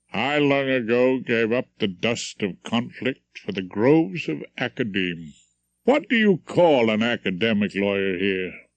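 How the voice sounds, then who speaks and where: A man uses a put-on character voice at a medium pitch, rumbling as he goes. His pace is moderate and his intonation lively. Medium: old radio play. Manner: genial, courteous, says sir.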